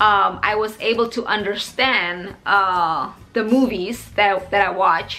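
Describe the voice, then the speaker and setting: A woman talks at a very slow pace with ordinary pitch variation while music plays in the background. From Indonesia. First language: Indonesian. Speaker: English teacher vlogger. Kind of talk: personal vlog talk to camera.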